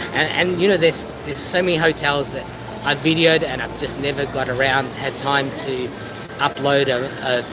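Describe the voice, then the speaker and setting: With an Australian accent, a man speaks at a moderate pace and with fairly even intonation, amid audible room echo and noticeable background noise. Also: fairly high pitch for a man. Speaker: travel vlogger. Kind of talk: casual chat. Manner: halting.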